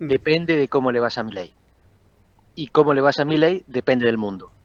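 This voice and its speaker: Here is a normal speaking voice with lively intonation at a fairly quick pace. The sound is dry and close, with no echo. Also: man, fairly high pitch for a man. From Argentina. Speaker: political scientist. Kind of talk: interview.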